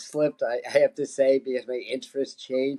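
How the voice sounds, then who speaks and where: A man with an American accent speaks at a fairly quick pace. His pitch is medium. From New York City. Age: 60s. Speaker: psychic medium. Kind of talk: interview, life story. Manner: halting, many fillers and repeats.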